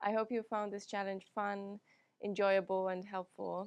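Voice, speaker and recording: Over a quiet background, a woman with a Finnish accent speaks at a medium pitch. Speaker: yoga teacher. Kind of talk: guided yoga class. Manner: calm, soothing.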